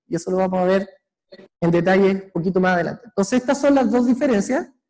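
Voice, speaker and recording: Very fast and high-pitched, a man talks with a dark, mellow tone. His pitch varies in an ordinary way. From Chile. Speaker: microbiology researcher. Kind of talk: lecture. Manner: halting, many fillers and repeats.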